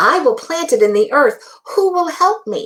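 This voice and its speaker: Putting on a squeaky character voice at an extremely high pitch, a woman talks at a moderate pace. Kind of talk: bedtime story. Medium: read story. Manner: earnest, determined.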